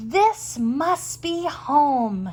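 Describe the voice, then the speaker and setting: High-pitched, a woman speaks in a put-on character voice. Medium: read story. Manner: gentle, wondering.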